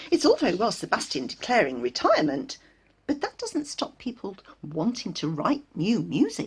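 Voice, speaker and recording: Pitched fairly high for a woman, a female-sounding voice delivers a put-on character voice at a moderate pace. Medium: read story. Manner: agitated, eager.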